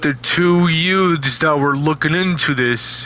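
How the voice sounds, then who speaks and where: With clear background noise behind him, a man does a put-on character voice at a fairly high pitch. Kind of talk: casual amateur horror narration. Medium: read story. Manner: rambling, repetitive.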